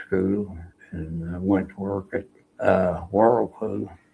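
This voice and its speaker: A man with an Oklahoma accent, very deep and low in pitch, with a dark, mellow, somewhat breathy tone, monotone flat intonation and a very slow pace. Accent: Oklahoma Southern US. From Oklahoma, US. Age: 80s+. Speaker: Navy veteran. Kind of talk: interview, life story. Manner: halting, many fillers.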